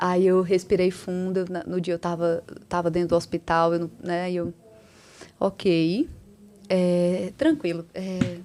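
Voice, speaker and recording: In a Ceará accent, a woman with a fairly low pitch speaks at a very slow pace, with long, frequent pauses. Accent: Northeastern Brazilian (Ceará). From Ceará, Brazilian Northeast. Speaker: cardiologist and entrepreneur. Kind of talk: podcast interview. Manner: animated.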